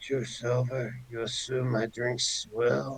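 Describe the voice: A man puts on a raspy character voice at medium pitch, speaking at a very slow pace in a monotone, flat intonation.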